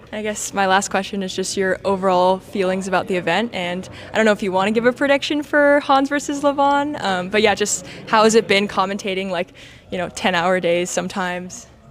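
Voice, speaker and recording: Against noticeable background noise, a woman with an American accent talks fairly quickly at a medium pitch, with ordinary pitch variation. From Los Angeles, US. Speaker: interviewer. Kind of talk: casual interview. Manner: halting, many fillers.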